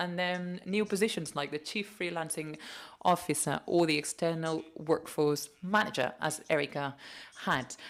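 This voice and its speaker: Recorded very cleanly with a silent background, a woman talks at a moderate pace in a normal speaking voice with a fairly low pitch. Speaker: conference speaker. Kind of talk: conference talk.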